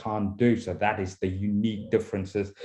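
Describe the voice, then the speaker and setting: A man's somewhat breathy voice, dark and mellow in tone, at a moderate pace against a quiet background. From South Africa, Cape Town. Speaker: international rugby coach. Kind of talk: talk at coaching forum. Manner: halting, many repeated words.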